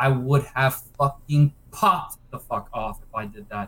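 A man uses a normal speaking voice, medium in pitch with ordinary pitch variation. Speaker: speedrunner. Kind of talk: casual chat.

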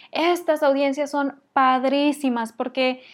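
A woman's high voice at a fairly slow pace and with fairly even intonation, in a very clean recording with a silent background. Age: 30s. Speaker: online business podcast host. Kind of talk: solo podcast tutorial. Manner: conversational.

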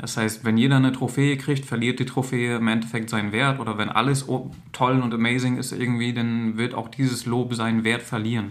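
A man with a medium pitch speaks at a fairly quick pace. His intonation is monotone and flat, with audible room echo around him. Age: 30s. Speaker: social worker making videos for teens. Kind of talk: direct-to-camera monologue. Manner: informal, with frequent fillers.

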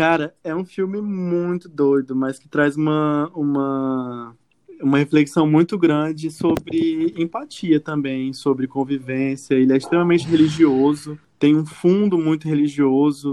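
Using a normal speaking voice, a man talks fairly high and at a fairly slow pace with hardly any pauses. His intonation is fairly even, but his loudness swings widely. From Brazil, Acre. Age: 30s. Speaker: journalist. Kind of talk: casual chat.

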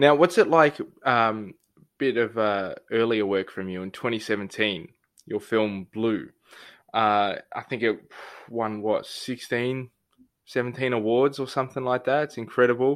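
With an Australian accent, a man speaks fairly slowly at medium pitch with ordinary pitch variation. The background is quiet. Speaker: podcast host. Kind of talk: interview. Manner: casual.

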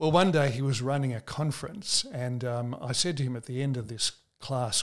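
This man speaks with an Australian accent. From Australia (Sydney). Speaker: preacher. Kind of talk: conversational interview.

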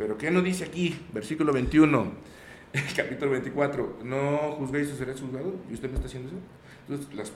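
There is audible room echo and noticeable background noise as a man speaks at a moderate pace. His fairly high voice has ordinary pitch variation. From Mexico, Zacatecas. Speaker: voice actor. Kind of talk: casual chat. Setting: studio.

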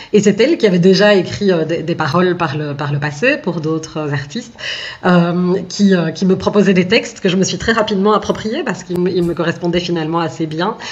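There is noticeable background noise as a woman talks at a fairly quick pace. Her voice is fairly low, with ordinary pitch variation. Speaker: singer. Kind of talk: radio interview. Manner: halting.

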